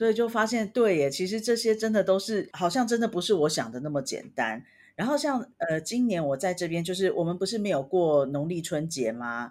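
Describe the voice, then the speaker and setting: A woman at medium pitch, fairly quick with hardly any pauses, her pitch swinging very widely, in a very clean recording with a silent background. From Taiwan, Taipei. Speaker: podcast co-host, language learner. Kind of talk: casual chat.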